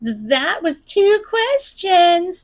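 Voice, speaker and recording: A woman's squeaky, put-on character voice at an extremely high pitch with very wide pitch swings. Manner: mocking.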